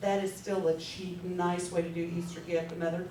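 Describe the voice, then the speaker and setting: Background noise is clearly present, along with some echo from the room. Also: woman. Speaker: direct sales team leader. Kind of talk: training talk to sales team. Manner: fast; animated.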